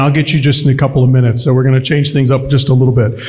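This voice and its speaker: A man speaks with audible room echo. Noticeable background noise runs underneath. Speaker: event emcee. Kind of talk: event hosting speech. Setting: fundraiser dinner with audience. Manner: loud.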